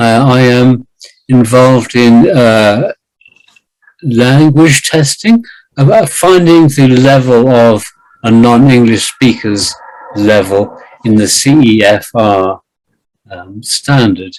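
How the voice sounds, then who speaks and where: A man's medium-pitched voice in a British accent, very slow, with long, frequent pauses and ordinary pitch variation. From Britain. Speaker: writer and English teacher. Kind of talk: interview. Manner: slow and deliberate; halting, many repeated words.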